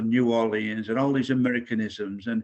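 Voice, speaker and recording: With an English accent, a man talks at a fairly quick pace and a medium pitch. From England, Manchester area. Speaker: singer-songwriter. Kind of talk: casual chat.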